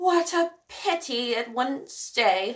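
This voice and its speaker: A woman puts on a character voice pitched high. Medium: read story. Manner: formal, polite.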